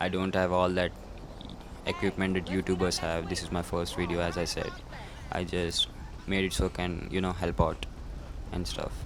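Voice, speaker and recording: Noticeable background noise sits under this man's voice. His pitch is very deep and low. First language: not English. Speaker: gaming YouTuber. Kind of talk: casual gameplay commentary. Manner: halting, many fillers.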